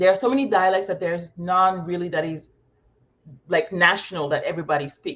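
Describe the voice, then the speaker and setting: Someone with a French accent speaks at a fairly quick pace. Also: woman, medium pitch for a woman, ordinary pitch variation. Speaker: academic with a PhD. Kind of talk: casual chat.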